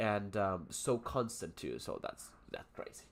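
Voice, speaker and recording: A man with a Spanish accent, at a very slow pace. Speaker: English teacher. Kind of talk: live stream lesson. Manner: halting, many fillers.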